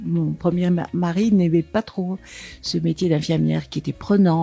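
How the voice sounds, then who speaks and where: A woman's fairly low-pitched voice at a moderate pace, dry and close with no echo, over noticeable background noise. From Paris suburbs, France. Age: 70s. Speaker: sexologist, former nurse and teacher. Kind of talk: interview testimony. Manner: hesitant, with many fillers.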